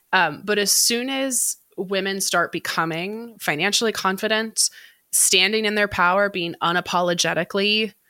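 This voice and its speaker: In an American accent, a woman with a bright, sharp tone and medium pitch speaks at a moderate pace with ordinary pitch variation, on a very clean recording with a silent background. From United States. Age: 20s. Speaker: financial educator. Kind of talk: interview.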